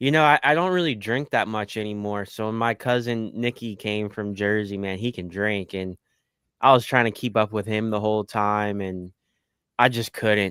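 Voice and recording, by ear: Speaking at a moderate pace, a man has a fairly low pitch with ordinary pitch variation. His tone is clear, smooth and fairly bright.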